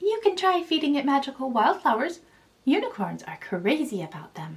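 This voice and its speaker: A woman uses a put-on character voice, high in pitch with very wide pitch swings. She keeps a moderate pace. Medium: read story.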